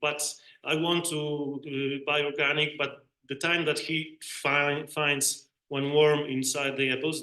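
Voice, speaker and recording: A man's very slow, monotone delivery in a Polish accent, flat in intonation and fairly high in pitch. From Poland. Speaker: bee researcher, panelist. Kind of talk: panel debate. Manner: halting.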